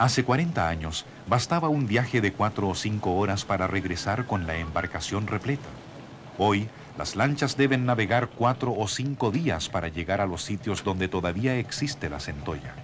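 A man speaks in a solemn tone at a fairly low pitch, his intonation lively. Noticeable background noise is present. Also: moderate pace. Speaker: documentary narrator. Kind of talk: nature/history documentary narration, scripted. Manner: measured, solemn, steady, formal.

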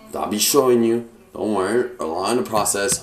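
Audible room echo and light background noise surround the recording. A man speaks at a moderate pace. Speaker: fitness vlogger. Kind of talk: casual vlog chat. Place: kitchen. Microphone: phone near.

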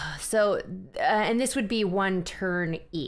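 The voice reads in a natural way. Text is read aloud at a normal, unforced level.

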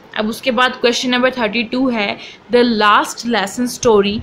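A woman speaks in a fairly high pitch with fairly even intonation. Noticeable background noise is present. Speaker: online tutor. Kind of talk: tutorial.

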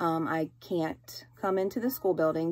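A woman with a fairly low voice speaks with ordinary pitch variation. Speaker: teacher. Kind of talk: casual vlog chat. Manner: weary, sick-sounding explanation. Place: home room. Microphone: phone near.

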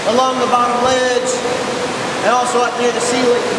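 A man's voice amid loud background noise and audible room echo. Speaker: cave tour guide. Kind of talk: guided tour commentary. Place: tunnel cave. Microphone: camera far.

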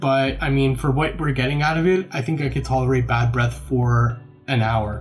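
With faint music behind him, the man talks at a moderate pace. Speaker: dog owner vlogger. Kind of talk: casual vlog chat. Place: kitchen.

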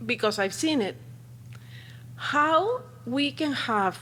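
Very slowly, a woman with a Spanish accent talks with very wide pitch swings. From Peru. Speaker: parent speaking at public comment. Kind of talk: public comment at board meeting. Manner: halting.

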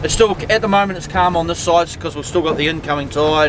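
The recording has noticeable background noise and a dry sound with no echo. A man speaks with ordinary pitch variation. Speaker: fishing vlogger. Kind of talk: casual vlog chat. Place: boat. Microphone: phone near.

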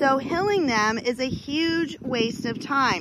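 This woman is recorded with no echo, a dry sound. Noticeable background noise sits behind her. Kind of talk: tutorial. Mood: firm, myth-busting. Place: farm machine. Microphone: phone near.

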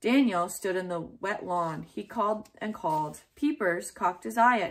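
With lively intonation, a voice does plain reading aloud.

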